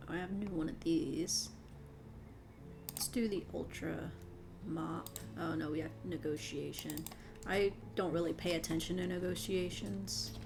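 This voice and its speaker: Amid audible room echo and music in the background, a woman speaks in a relaxed tone at a moderate pace with long, frequent pauses. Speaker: gaming youtuber. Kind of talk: casual gameplay commentary. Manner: relaxed, unscripted.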